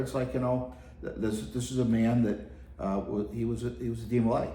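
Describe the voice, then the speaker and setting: This man talks at a fairly quick pace in a medium pitch with ordinary pitch variation. Audible room echo surrounds his voice. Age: 60s. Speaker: youth organization executive officer. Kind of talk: interview conversation. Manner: halting, many fillers.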